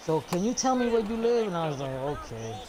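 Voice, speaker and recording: A man with an animated tone and very wide pitch swings at a moderate pace, with audible room echo and noticeable background noise. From New York. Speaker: gaming streamer. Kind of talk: casual chat. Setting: live stream.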